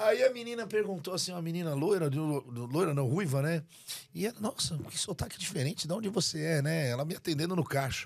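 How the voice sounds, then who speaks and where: Lively intonation and a high pitch mark a man speaking with a Brazilian accent. His pace is fairly quick. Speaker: real estate agent. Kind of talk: casual chat.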